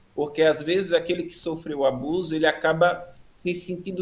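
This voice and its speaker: Here a man talks with a high pitch at a moderate pace. His intonation stays fairly even. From Brazil, Rio Grande do Norte (Natal). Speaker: preacher giving testimony. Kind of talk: testimony.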